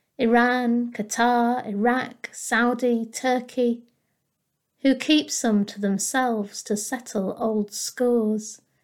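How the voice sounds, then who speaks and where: On a very clean recording with a silent background, a woman speaks in a solemn tone at a very slow pace, her high pitch held in monotone, flat intonation. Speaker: poet. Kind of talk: poetry reading, spoken word. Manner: measured, aching, solemn.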